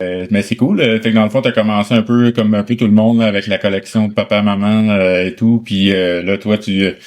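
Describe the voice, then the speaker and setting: In a quiet background, a man talks at a fairly quick pace with hardly any pauses, his fairly low voice monotone and flat. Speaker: record store owner and interviewer. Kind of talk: casual interview. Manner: relaxed with many hesitations.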